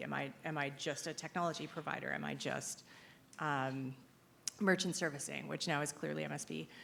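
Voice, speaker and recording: Vocal fry runs through this woman's very deep, low voice as she talks at a fairly quick pace. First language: not English (English is second written language). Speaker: compliance consultant. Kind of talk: conference Q&A. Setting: stage with audience.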